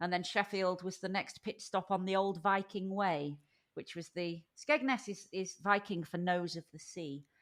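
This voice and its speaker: Recorded very cleanly with a silent background, a woman with a northern English accent speaks with ordinary pitch variation. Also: medium pitch for a woman, moderate pace. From Lincolnshire, England. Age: 50s. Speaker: podcast guest. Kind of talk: casual interview.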